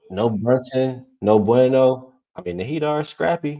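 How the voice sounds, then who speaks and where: Soft-spoken and dark in tone, a man talks in a mellow voice with a dry, close sound and no echo. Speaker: sports betting show host. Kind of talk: casual chat.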